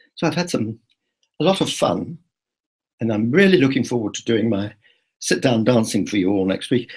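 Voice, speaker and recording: Somewhat breathy, a speaker with a British accent talks at a fairly quick pace with very wide pitch swings. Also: man. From Britain. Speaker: travel vlogger. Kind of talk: live video blog. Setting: live online broadcast. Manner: chatty, with hesitations.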